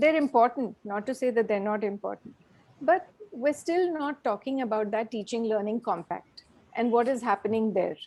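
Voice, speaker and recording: A woman's high-pitched voice with a dark, mellow tone, lively intonation and a moderate pace. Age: 60s. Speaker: professor. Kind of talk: invited talk with Q&A. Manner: hesitant, many fillers.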